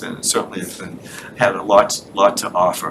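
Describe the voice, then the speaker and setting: Through noticeable background noise, a man speaks at a fairly quick pace. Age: 70s. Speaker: committee member presenting to town board. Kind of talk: public meeting presentation. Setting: town select board meeting.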